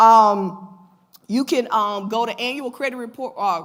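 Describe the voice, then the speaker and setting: A woman speaks with a fairly high pitch and ordinary pitch variation. Noticeable background noise sits behind her. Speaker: financial educator. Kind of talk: lecture. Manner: fast.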